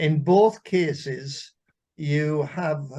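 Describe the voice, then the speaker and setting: Speaking very slowly, a man with a Welsh accent keeps a fairly high pitch and fairly even intonation. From Wales. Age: 80s+. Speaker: armed forces veteran. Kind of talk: casual interview.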